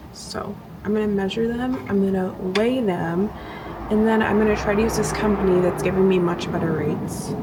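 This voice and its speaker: Very fast speech over noticeable background noise. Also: woman. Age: 20s. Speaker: lifestyle vlogger. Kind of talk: casual vlog talk to camera.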